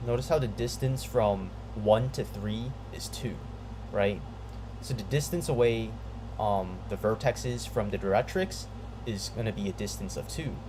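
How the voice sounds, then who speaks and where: Long, frequent pauses break up the speech, and audible room echo fills the recording. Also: man, moderate pace. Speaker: math tutorial video maker. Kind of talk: tutorial. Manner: halting, stuttering; casual, filler-heavy.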